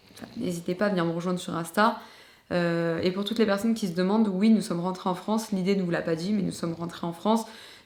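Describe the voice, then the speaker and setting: Here a woman talks very fast. Her intonation stays fairly even. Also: medium pitch for a woman. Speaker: YouTuber. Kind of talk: personal vlog confession. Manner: hesitant.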